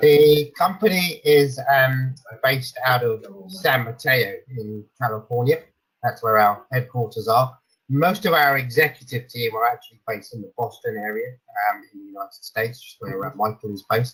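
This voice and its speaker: A man at a medium pitch speaks at a moderate pace with ordinary pitch variation and big swings in loudness. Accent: British. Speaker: sales director at a software company presenting. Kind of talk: webinar product presentation. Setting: online webinar with screen sharing. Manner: frequent fillers (um, uh) and repetitions.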